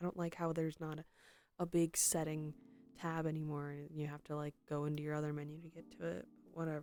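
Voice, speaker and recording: A soft-spoken woman's very deep, low voice in a flat monotone at a very fast pace, with music in the background. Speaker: streamer. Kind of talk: casual chat. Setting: live stream. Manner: halting.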